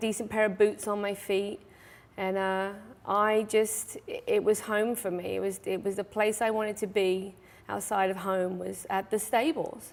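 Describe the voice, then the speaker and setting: A woman with an English accent speaks at a fairly high pitch and a moderate pace. The recording is very clean, with a silent background. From England, Suffolk (Mildenhall). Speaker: stable owner and riding instructor. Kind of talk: talk show interview. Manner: hesitant, many fillers.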